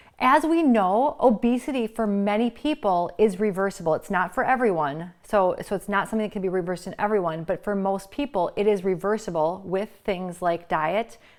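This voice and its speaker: Speaking fairly quickly with hardly any pauses, a woman uses an animated tone. Her medium pitch carries lively intonation. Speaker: integrative medicine physician. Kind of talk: casual talking-head monologue. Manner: fast.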